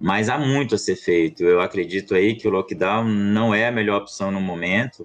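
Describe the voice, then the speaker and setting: A man with a plain, everyday voice, fairly low in pitch, with ordinary pitch variation at a moderate pace. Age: 30s. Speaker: pediatrician and city councillor. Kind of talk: interview.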